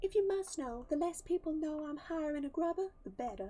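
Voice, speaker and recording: A squeaky, female-sounding put-on character voice, extremely high in pitch, at a fairly quick pace. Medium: game stream. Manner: formal, reserved.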